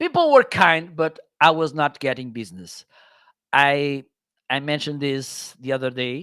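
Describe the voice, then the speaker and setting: With a bright, sharp tone and fairly high pitch, a man speaks at a fairly slow pace with ordinary pitch variation and long, frequent pauses, in a very clean recording with a silent background. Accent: Portuguese. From northern Portugal. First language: Portuguese. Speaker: Amazon content creator. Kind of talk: interview chat. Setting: live stream.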